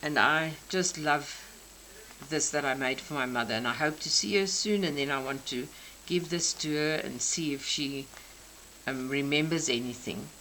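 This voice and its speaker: A voice with a South African accent moves at a moderate pace with ordinary pitch variation, and room echo is audible. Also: woman, very deep, low pitch for a woman. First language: Afrikaans. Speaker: crafter. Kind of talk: craft show-and-tell. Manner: halting.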